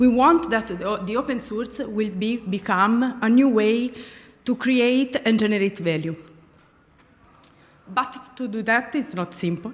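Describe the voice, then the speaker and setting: Pausing long and often, a woman with an Italian accent speaks in a fairly high voice with ordinary pitch variation. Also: fairly slow pace. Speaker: speaker at a tech conference. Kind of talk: conference talk. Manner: halting, many fillers.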